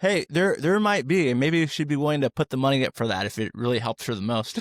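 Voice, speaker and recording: A man's fairly high voice at a very fast pace, very wide pitch swings, and a dry, close sound with no echo. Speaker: podcast host. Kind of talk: interview. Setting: podcast.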